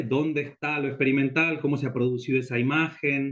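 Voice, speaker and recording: The pace of this man's speech is fairly quick. There is ordinary variation in his pitch. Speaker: lecturer on experimental photography. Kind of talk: lecture. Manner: fast.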